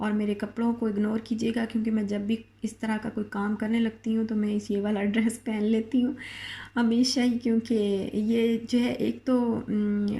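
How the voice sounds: A woman at a fairly high pitch with little pitch movement, in a dark, mellow tone, at a moderate pace with few pauses.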